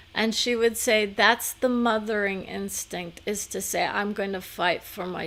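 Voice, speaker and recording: A woman speaks at a very slow pace with ordinary pitch variation. Her voice has vocal fry. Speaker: psychic medium channeler. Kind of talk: live channeling session.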